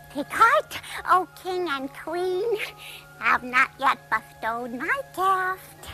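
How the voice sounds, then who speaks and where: A put-on character voice, female-sounding and extremely high-pitched, moves at a very slow pace with very wide pitch swings while clear music plays in the background. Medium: short film. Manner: hesitant, halting, earnest.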